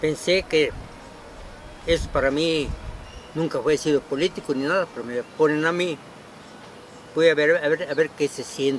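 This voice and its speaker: Fairly high man's voice at a moderate pace, fairly even intonation, long, frequent pauses and noticeable background noise. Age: 70s. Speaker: former political candidate. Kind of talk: interview. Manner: halting, stammering.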